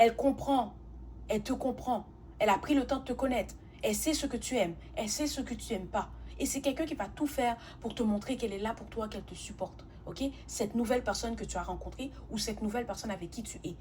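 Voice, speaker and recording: A woman at a very fast pace with big swings in loudness. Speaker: tarot reader. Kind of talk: tarot reading monologue. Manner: halting, self-correcting.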